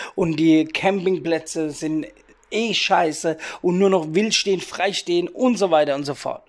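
A man's voice, high in pitch, with ordinary rises and falls. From Rhein-Neckar area near Heidelberg, Germany. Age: 30s. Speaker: podcast host, youth worker and DJ. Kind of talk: casual solo podcast monologue.

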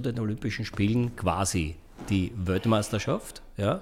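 An Austrian accent on a man's medium-pitched, somewhat breathy voice. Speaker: podcast host. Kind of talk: casual interview.

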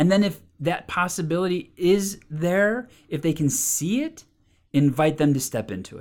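Animated and enthusiastic in tone, a woman with a fairly low pitch speaks at a moderate pace, her intonation lively and her loudness swinging widely. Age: 40s. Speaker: spiritual coach and trainer. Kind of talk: solo podcast talk, motivational. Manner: animated, enthusiastic.

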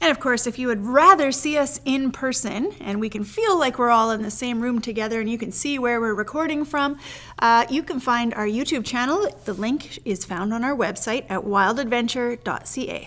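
A woman speaks in a high voice at a moderate pace with ordinary pitch variation. She hardly pauses at all. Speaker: podcast host and church leader. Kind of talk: guided meditation, scripture reading.

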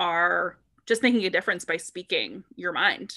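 This woman has an unremarkable speaking voice at a medium pitch. She talks at a moderate pace. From US Northeast, Boston area. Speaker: body image coach. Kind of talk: casual interview.

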